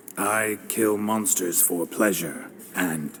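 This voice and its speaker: Putting on a character voice, a man speaks at a fairly low pitch and a very slow pace with clear background noise behind him. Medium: video game. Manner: gruff, flat.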